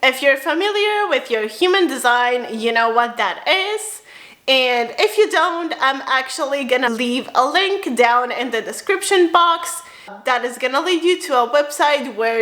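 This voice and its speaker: Against noticeable background noise, a woman with a high pitch and a bubbly, upbeat tone speaks at a fairly slow pace with very wide pitch swings. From Romania, then Spain from age 7-8. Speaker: spiritual lifestyle vlogger. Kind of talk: casual personal vlog.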